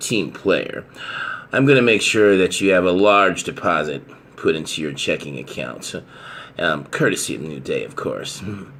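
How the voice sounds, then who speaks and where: A man's put-on character voice, raspy and very deep, with lively intonation at a moderate pace. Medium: audio drama. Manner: chuckling, gloating.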